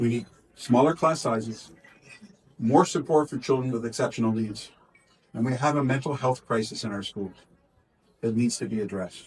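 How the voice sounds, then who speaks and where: A somewhat breathy man with a Canadian accent speaks with long, frequent pauses. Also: medium pitch for a man, ordinary pitch variation, moderate pace. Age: 60s. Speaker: politician. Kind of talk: press interview. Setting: community event. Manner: halting.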